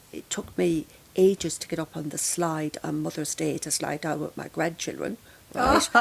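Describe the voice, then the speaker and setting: The speaker is a woman. She talks in an Irish accent. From Ireland. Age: 60s. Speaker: grief counsellor. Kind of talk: podcast interview.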